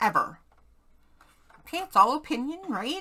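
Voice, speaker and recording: A woman uses a raised, projected voice with very wide pitch swings. She keeps to a fairly slow pace. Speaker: crafting video creator. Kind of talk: casual crafting vlog. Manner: hyper.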